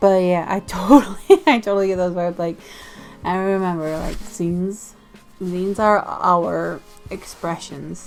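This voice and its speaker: A woman's medium-pitched voice at a moderate pace, with music in the background. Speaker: zine enthusiast. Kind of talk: casual talk to camera.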